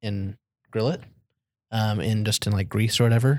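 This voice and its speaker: An unremarkable speaking voice from a man, medium in pitch with a General American accent and fairly even intonation, on a very clean recording with a silent background. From Arizona, born in Germany. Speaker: returned missionary. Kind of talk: casual interview.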